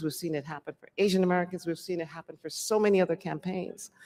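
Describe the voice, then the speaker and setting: The speaker talks at a very fast pace with a slight Jamaican accent. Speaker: public hearing speaker. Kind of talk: public testimony.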